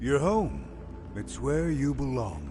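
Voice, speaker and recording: A man puts on a character voice while clear noise runs in the background. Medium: video game. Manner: eerie, insistent.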